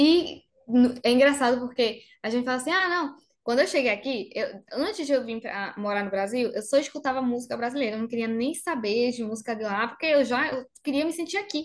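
A woman with a high pitch speaks at a fairly quick pace. Her intonation is lively. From Argentina, Bariloche (Patagonia). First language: Spanish (speaking Portuguese). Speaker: makeup artist. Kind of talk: interview.

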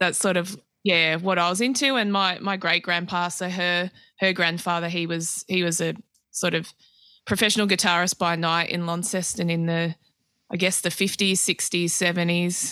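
A woman's bright, sharp voice, fairly low in pitch, with an Australian accent, fairly even intonation, and a moderate pace, in a very clean recording with a silent background. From Australia, mostly Adelaide. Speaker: guitarist and guitar tech. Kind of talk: casual interview chat.

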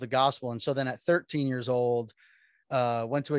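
Over a quiet background, a man with an American accent speaks in an ordinary speaking voice at a medium pitch, with fairly even intonation. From Miami, Florida. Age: 40s. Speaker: pastor. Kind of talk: casual chat.

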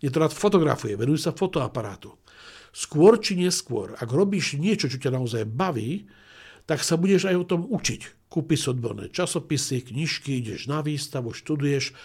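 A man's somewhat breathy, fairly high-pitched voice with lively intonation, on a very clean recording with a silent background. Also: moderate pace. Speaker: management school president and business coach. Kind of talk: interview.

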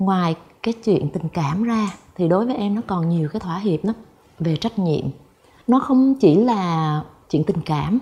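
The pace is fairly slow, with long, frequent pauses. The tone is dark and mellow, somewhat breathy. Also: woman, medium pitch for a woman. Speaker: talk show guest. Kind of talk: talk show conversation.

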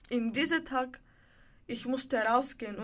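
A woman speaks with a Bulgarian accent in a high pitch. Her pace is moderate and her intonation fairly even. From Bulgaria, Sofia. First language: Bulgarian (speaking German). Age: 20s. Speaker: homeless young woman in a women's shelter. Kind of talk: personal testimony interview. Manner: halting.

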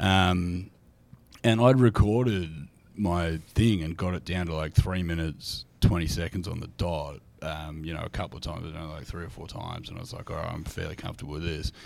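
Recorded very cleanly against a silent background, a man with an Australian accent speaks at a fairly quick pace and a very deep, low pitch, with big swings in loudness. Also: ordinary pitch variation. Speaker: comedian. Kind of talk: casual chat.

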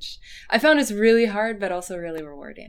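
A voice with a West Coast accent and ordinary pitch variation, over noticeable background noise. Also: woman. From US Pacific Northwest. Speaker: fan blogger and essayist. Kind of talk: casual chat.

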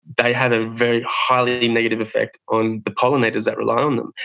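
The man's intonation is monotone and flat. He talks at a moderate pace and a medium pitch. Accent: Australian. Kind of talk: interview. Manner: halting, many fillers.

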